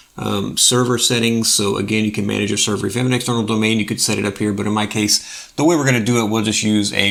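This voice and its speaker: Talking at a very fast pace, a man uses fairly even intonation at a fairly low pitch. Noticeable background noise is present. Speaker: open source software youtuber. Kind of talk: tutorial. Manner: casual, filler-heavy.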